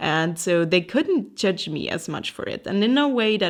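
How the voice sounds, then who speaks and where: A woman speaks with a German accent at a fairly slow pace. The recording is very clean, with a silent background. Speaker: artist and podcast host. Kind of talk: casual solo podcast talk.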